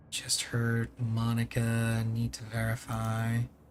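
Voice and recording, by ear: Over clear background noise, a man does a nasal put-on character voice at a medium pitch, flat and monotone, at a fairly slow pace.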